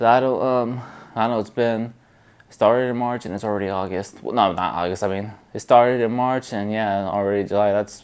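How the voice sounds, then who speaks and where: This man mumbles his words. He talks at a moderate pace. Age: 20s. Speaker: vlogger. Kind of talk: casual vlog monologue. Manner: mumbling; hesitant, many fillers.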